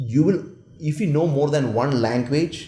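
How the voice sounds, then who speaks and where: A man speaks at a moderate pace, somewhat breathy, in a dark, mellow tone. Audible room echo is present. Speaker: world champion public speaker and management consultant. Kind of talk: interview.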